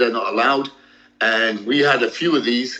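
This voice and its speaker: At medium pitch, a man speaks with a British accent. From UK, Sikh family. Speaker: ex-drug smuggler and entrepreneur. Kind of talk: interview.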